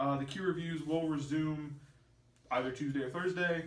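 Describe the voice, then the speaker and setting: A man at a moderate pace with audible room echo. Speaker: youtuber hosting a movie chat podcast. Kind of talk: casual chat. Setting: seated in a room with a guest. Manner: slips up often when talking.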